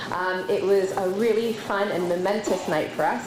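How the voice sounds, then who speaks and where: With audible room echo and noticeable background noise, a woman speaks at a medium pitch. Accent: Canadian. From Canada. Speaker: nonprofit leader. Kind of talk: conference panel talk.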